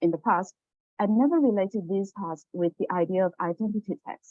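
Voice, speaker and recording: At a moderate pace, a woman with a Chinese accent speaks at medium pitch with ordinary pitch variation. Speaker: teacher and graduate student. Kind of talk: academic presentation.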